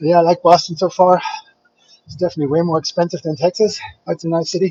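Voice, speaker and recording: Speaking very fast in a German accent, a man with a high pitch keeps his intonation fairly even while his loudness swings widely. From Germany, Frankfurt. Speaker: fitness vlogger, bodybuilder. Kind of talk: casual chat with live stream viewers.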